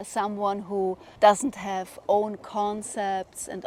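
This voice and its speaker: A woman's medium-pitched voice with a German accent, dark and mellow in tone, with monotone, flat intonation at a very slow pace. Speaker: spiritual vlogger. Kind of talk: personal monologue.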